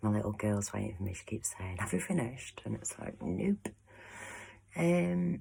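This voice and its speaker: A soft-spoken woman with an English accent, very deep and low in pitch, dark and mellow in tone. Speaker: astrology painter and vlogger. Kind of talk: casual vlog monologue. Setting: at home behind closed door.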